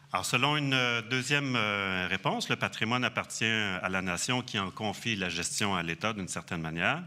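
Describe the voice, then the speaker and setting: A man's fairly low, bright and sharp voice in a Quebec accent, with lively intonation, a moderate pace and hardly any pauses. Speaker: archaeologist. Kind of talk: conference talk. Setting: conference hall with audience. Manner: hesitant, many fillers.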